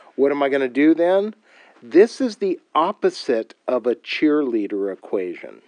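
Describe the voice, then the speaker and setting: The sound is dry and close with no echo, over a quiet background. A man with a fairly high pitch speaks at a fairly slow pace, his pitch swinging very widely. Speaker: math teacher. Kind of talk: tutorial. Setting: recorded video lesson. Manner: casual, filler-heavy.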